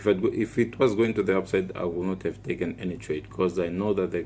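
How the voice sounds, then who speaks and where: A man speaks with a very deep, low pitch and audible vocal fry. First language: Portuguese. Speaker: forex trader / trading YouTuber. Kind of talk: trading tutorial / chart walkthrough. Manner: halting, with frequent fillers and restarts.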